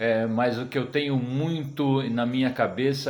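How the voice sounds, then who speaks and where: Through audible room echo, a man speaks at a very slow pace with ordinary pitch variation. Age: 60s. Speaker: cartoonist. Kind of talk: recorded interview testimony. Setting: sent-in video recording. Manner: halting, many fillers.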